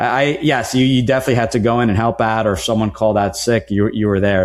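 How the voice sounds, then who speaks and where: An American-accented man talks at a very fast pace with ordinary pitch variation. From New Jersey, US. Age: 40s. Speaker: franchise consultant. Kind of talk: podcast interview.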